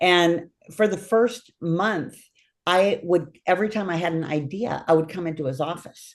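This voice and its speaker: Her voice is a plain, everyday voice, and the woman keeps a moderate pace with ordinary pitch variation. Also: fairly low pitch for a woman. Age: 60s. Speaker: podcast host. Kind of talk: interview.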